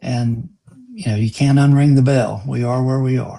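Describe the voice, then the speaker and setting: A man speaks at medium pitch in a dark, mellow tone that is somewhat breathy. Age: 60s. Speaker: lawyer. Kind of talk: live stream interview.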